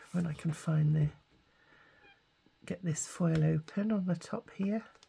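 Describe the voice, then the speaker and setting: A woman speaks at a very slow pace in a very deep, low pitch. Her voice is somewhat breathy. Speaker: craft youtuber. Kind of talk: crafting tutorial. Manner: halting, many fillers.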